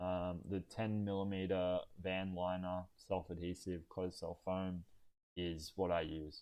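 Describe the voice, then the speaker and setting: A man with an Australian accent speaks at a very deep, low pitch. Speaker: van build youtuber. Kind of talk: live stream Q&A. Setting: live stream. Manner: calm; hesitant, many fillers.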